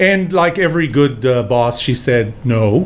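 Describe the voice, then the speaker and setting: A man speaks at a medium pitch while noticeable noise fills the background. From Israel. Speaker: engineer and business author. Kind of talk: interview storytelling. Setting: studio.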